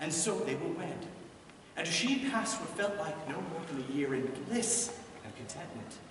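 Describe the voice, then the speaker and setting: This man talks at a moderate pace with a high pitch and lively intonation. The recording has audible room echo and noticeable background noise. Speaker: storyteller bard. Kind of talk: storytelling performance of a myth. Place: stage.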